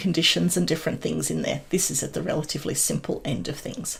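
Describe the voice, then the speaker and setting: Talking at a fairly quick pace, a woman speaks with vocal fry. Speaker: software tutorial creator. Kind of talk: tutorial. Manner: casual, friendly.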